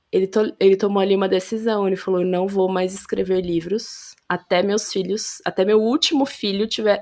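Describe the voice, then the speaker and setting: A woman speaks with hardly any pauses in a medium-pitched voice. Her tone is dark and mellow. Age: 30s. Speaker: podcast guest, mother and author. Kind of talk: casual interview conversation, testimony. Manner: animated, hesitant with self-corrections.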